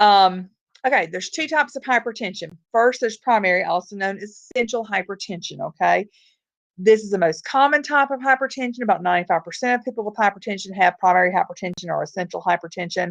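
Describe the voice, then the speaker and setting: Over a quiet background, a woman with a Southern US accent speaks very fast at medium pitch with lively intonation, the sound dry and close with no echo. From US South. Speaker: nursing or medical lecturer. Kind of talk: lecture.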